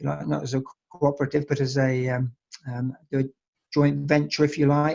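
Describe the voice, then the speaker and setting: A man with an English accent talks at medium pitch in a monotone, flat intonation. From England. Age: 60s. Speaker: wine estate owner. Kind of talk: interview. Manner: halting, many fillers.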